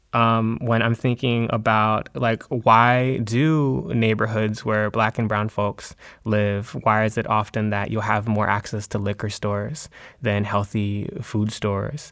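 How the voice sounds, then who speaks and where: Recorded very cleanly against a silent background, a man with an unremarkable speaking voice talks at a fairly slow pace, his fairly low pitch held in fairly even intonation. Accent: American. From US, Maryland. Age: 20s. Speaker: poet and educator. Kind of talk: interview conversation.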